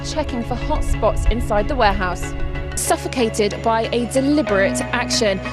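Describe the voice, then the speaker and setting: A woman speaks at a moderate pace as music plays in the background. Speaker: reporter. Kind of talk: TV news report.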